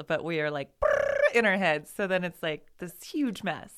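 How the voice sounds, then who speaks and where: In a very clean recording with a silent background, a woman with an American accent and medium pitch talks at a moderate pace in an ordinary speaking voice. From Idaho, Boise area. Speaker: person in recovery. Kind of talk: casual chat.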